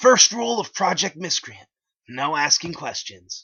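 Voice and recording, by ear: Putting on a character voice, a man speaks at a fairly high pitch with big pitch swings, a fairly bright tone, a slightly husky edge and vocal fry, at a fairly slow pace.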